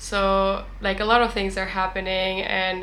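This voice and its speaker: In a German accent, a woman talks at a moderate pace with monotone, flat intonation, the recording carrying audible room echo and noticeable background noise. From Germany. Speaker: vlogger. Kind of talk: casual vlog talk to camera. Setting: at the beach.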